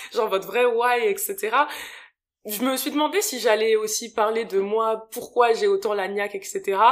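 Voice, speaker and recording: Fairly high-pitched female speech with ordinary ups and downs in pitch. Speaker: podcast host. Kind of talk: casual chat. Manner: animated. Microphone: new better microphone.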